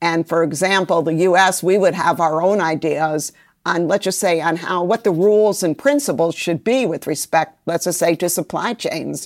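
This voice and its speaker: A woman with an American accent has an unremarkable speaking voice, a fairly low pitch and ordinary pitch variation. She keeps a moderate pace on a very clean recording with a silent background. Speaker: trade policy expert. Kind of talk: interview.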